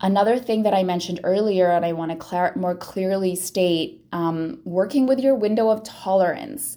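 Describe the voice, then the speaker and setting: Her tone dark and mellow, a woman speaks at a moderate pace and a medium pitch. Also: ordinary pitch variation. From Philippines. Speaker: podcast host, sobriety and wellbeing coach. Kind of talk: solo monologue podcast.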